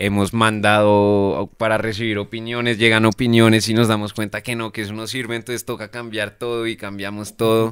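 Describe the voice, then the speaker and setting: A man's fairly low, monotone voice at a moderate pace, dry with no echo over a quiet background. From Colombia, Bogotá. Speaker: pop band musician; guest. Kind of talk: casual interview chat. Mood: relaxed, reflective. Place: studio. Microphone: studio mic.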